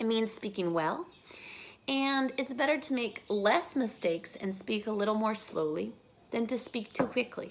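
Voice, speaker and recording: At a moderate pace, a woman with an ordinary speaking voice talks in a fairly high pitch with lively intonation. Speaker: language coach. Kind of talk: tutorial.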